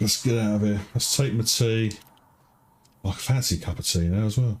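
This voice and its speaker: With a British accent, a man with a fairly low pitch speaks in a relaxed, somewhat breathy tone, with ordinary pitch variation and very even loudness. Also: fairly quick pace. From Britain. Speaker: game streamer. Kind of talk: gameplay commentary. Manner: relaxed, thinking aloud.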